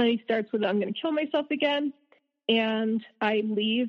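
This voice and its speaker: A woman with an American accent and a plain, everyday voice, fairly high pitch, ordinary pitch variation and a moderate pace. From US South. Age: 30s. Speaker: abuse survivor. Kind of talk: testimony.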